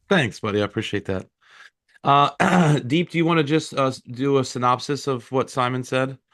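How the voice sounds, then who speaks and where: A man with an American accent and an unremarkable speaking voice, ordinary pitch variation, moderate pace, and a quiet background. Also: medium pitch for a man. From US. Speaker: network marketing leader. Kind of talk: casual chat.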